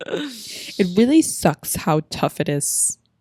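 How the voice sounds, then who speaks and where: The speech comes at a very slow pace, with a dry, close sound with no echo. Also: woman. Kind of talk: casual podcast conversation.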